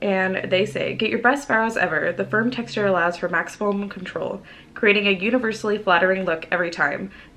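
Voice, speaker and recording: With noticeable background noise behind her, a woman talks fairly quickly at a medium pitch with ordinary pitch variation. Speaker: beauty vlogger. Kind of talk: makeup tutorial. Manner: casual.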